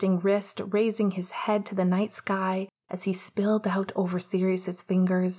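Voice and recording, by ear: A natural voice reading aloud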